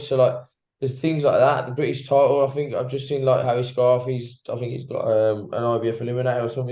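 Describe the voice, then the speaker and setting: In a room with audible echo, a man talks at a very fast pace in a dark, mellow, somewhat breathy tone. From West Midlands, England (Wolverhampton). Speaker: professional boxer. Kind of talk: casual interview. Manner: animated, halting with many fillers and repeats.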